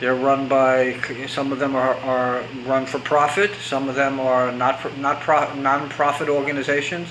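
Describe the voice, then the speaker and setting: Monotone, flat delivery at a moderate pace, with noticeable background noise and audible room echo. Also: man, fairly high pitch for a man. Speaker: recovery coach. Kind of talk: extemporaneous talk to camera. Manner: halting, with stammers and restarts; unscripted, conversational.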